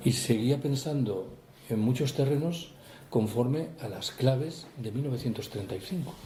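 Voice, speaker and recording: A man speaks at a fairly slow pace with a medium pitch and ordinary pitch variation, and audible room echo surrounds his voice. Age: 60s. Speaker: author. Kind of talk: book talk Q&A. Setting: public talk with audience.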